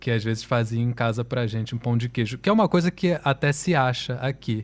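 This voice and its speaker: The recording is very clean, its background silent. A man talks at a medium pitch. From Brazil, Rio de Janeiro. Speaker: musician. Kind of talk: interview.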